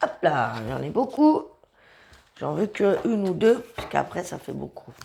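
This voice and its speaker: Her loudness rising and falling in big swings, a woman speaks fairly slowly. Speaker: tarot reader. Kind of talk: tarot reading. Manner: halting.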